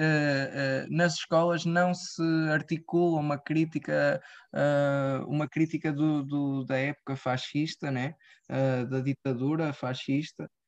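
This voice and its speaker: The speech comes at a very slow pace over a quiet background. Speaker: radio show host. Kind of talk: interview conversation. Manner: halting, many fillers.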